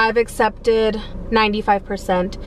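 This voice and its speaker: A woman speaks at a moderate pace over light background noise. The sound is dry, with no echo. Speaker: delivery driver vlogger. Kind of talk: casual vlog chat. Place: car. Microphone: phone near.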